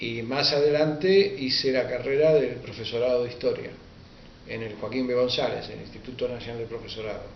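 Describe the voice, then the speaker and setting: A man's medium-pitched voice in a Rioplatense accent, with ordinary pitch variation and big swings in loudness, amid audible room echo and noticeable background noise. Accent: Rioplatense Spanish (porteño). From Argentina, Buenos Aires. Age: 60s. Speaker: writer and history teacher. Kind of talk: interview. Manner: hesitant, with frequent fillers.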